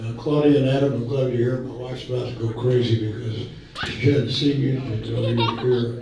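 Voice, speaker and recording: Over noticeable background noise and audible room echo, a man speaks fairly quickly at a medium pitch with monotone, flat intonation. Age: 90s. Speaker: old friend giving a tribute speech. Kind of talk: birthday party speech. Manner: halting.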